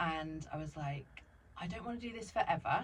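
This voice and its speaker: Very low, deep pitch from a woman, with noticeable noise in the background. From Sussex, southern England. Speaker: former social worker turned business owner. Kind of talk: interview chat.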